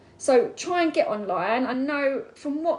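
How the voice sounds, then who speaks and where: With an Essex accent, a woman speaks in an animated tone full of lively intonation. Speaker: network marketing seller. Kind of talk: live stream talk. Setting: online live video. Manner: fast.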